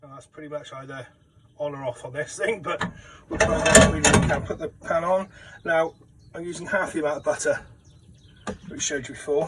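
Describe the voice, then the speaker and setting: With a British accent, a man talks in a fairly high pitch, his loudness swinging widely, with long, frequent pauses and noticeable background noise. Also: ordinary pitch variation, fairly quick pace. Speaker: home cook. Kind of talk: cooking tutorial. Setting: caravan kitchen. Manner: fast.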